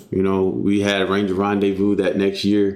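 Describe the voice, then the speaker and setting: Speaking at a moderate pace, a man talks with a Texan accent. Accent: Texan US Southern. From Texas. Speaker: jiu-jitsu coach and army veteran. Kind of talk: casual interview.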